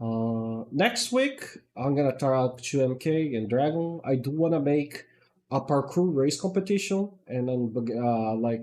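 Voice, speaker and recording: A man with a dark, mellow tone speaks at a fairly slow pace in a fairly high pitch, with ordinary pitch variation. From Brazil. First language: Portuguese. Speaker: gaming streamer. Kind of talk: casual livestream chat. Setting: livestream while gaming.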